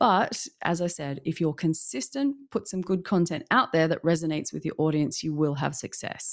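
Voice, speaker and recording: A woman talks at a moderate pace in a normal speaking voice, fairly low in pitch, with lively intonation. The recording is very clean, with a silent background. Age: 40s. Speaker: LinkedIn marketing consultant. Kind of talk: interview.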